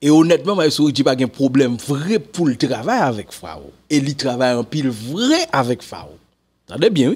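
A man with a Haitian accent, fairly high pitch, lively intonation and a moderate pace. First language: Haitian Creole (speaking French). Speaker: music commentator. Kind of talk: casual commentary to camera. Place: home room. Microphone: studio mic.

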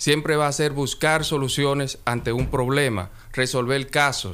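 Speaking at a fairly slow pace, the man has a fairly high pitch. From Dominican Republic. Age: 20s. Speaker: lawyer. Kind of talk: radio interview. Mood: firm, defensive denial. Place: studio. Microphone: studio mic.

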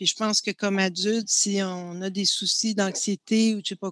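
At a fairly slow pace, a woman speaks with monotone, flat intonation, the sound dry with no echo and the background quiet. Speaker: filmmaker and professor; professor. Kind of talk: panel discussion. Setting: video call. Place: home room. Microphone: headset.

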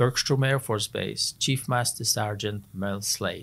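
A man speaks in a fairly low pitch with fairly even intonation. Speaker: podcast guest. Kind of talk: interview answer. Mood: warm, reminiscing. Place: studio. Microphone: studio mic.

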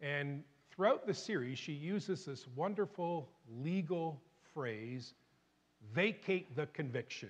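A man talks very slowly, his fairly high voice moving with lively intonation. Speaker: pastor. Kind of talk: sermon. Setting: church.

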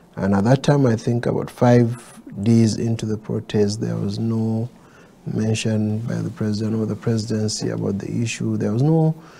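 At a moderate pace and with fairly even intonation, an ordinary speaking voice comes through over light background noise. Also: man, fairly low pitch for a man. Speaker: candidate. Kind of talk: interview answer. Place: studio.

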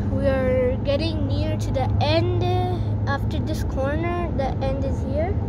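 Loud background noise sits under fairly slow speech, with a dry sound and no echo. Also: woman. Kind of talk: casual vlog chat. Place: car. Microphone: phone near.

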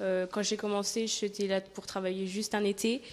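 A woman's flat, monotone delivery at a fairly slow pace. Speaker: seasonal cleaning worker. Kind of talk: interview. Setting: at a campsite. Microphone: handheld.

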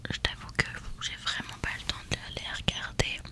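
Her pace is fairly slow. A woman whispers. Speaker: vlogger. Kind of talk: casual vlog chat, soft close talk. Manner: soft close-mic ASMR murmur. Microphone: studio mic.

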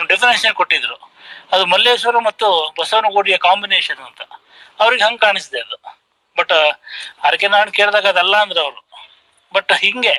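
A man uses a raised, projected voice at a high pitch. The pitch moves in an ordinary way, and the sound is dry and close with no echo. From coastal Karnataka, Uppinangadi area. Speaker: writer and columnist. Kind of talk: panel discussion remarks.

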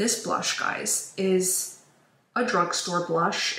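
At a very slow pace, a woman speaks in a medium-pitched voice. Her intonation is monotone and flat, and room echo is audible. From China. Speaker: beauty YouTuber. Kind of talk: makeup tutorial. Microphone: phone near.

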